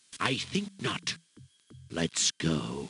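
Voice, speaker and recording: Using a put-on character voice, a man drops his pitch very deep and low. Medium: video game. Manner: gruff, suspicious.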